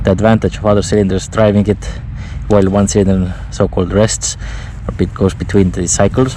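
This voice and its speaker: A man with an Estonian accent at a moderate pace, monotone and flat, over noticeable background noise. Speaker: motorcycle reviewer. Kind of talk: unscripted POV ride review. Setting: outdoors. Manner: relaxed.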